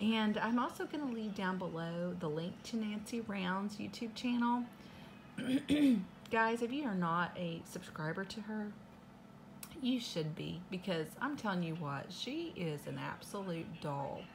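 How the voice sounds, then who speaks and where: Somewhat breathy female speech at a fairly slow pace, with light background noise. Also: lively intonation. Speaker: unboxing vlogger. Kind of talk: casual vlog chat. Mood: cheerful, grateful. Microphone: phone near.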